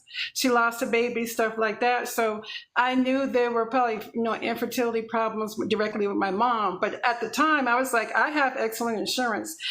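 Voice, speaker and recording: A woman speaks with a fairly high pitch and hardly any pauses. Room echo is audible around her. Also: fairly quick pace. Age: 50s. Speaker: infertility patient sharing her story. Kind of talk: testimony. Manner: fast; animated.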